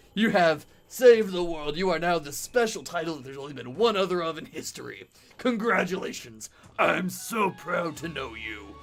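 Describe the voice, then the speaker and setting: A man's gruff, put-on character voice, high in pitch, at a moderate pace over faint music in the background. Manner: proud, congratulating.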